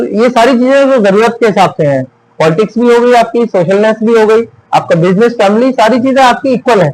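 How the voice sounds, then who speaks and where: A man speaks at an extremely high pitch with ordinary pitch variation. His pace is moderate and his loudness very even. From western Uttar Pradesh, India (Amroha). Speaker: lawyer and local politician. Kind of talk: interview.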